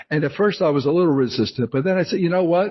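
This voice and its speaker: Here a man talks with a New Jersey accent. His voice is somewhat breathy, with ordinary pitch variation. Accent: New Jersey American. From New Jersey, US. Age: 60s. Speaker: memoir author and retired actor. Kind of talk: interview. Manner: halting, many fillers and restarts.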